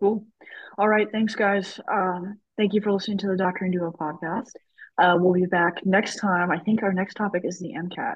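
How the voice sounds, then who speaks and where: A woman talks at a moderate pace in a medium pitch. Her voice is somewhat breathy, with fairly even intonation. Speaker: medical student podcast host. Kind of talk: casual chat.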